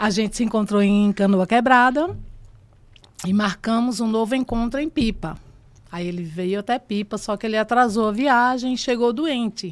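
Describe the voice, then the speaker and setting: Her pitch fairly high, a woman talks at a moderate pace in a plain, everyday voice with ordinary pitch variation. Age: 60s. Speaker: actress. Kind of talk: interview testimony.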